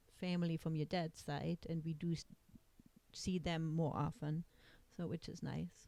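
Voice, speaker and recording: A woman with a German accent talks at a fairly slow pace in a fairly low pitch. Her tone is dark and mellow, and her intonation is monotone and flat. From East Germany. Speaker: lawyer, immigrant mother. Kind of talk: family interview. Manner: hesitant, many fillers.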